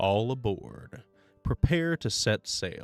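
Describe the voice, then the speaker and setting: A man in a put-on character voice at a medium pitch and a very slow pace, with faint music in the background. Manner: commanding.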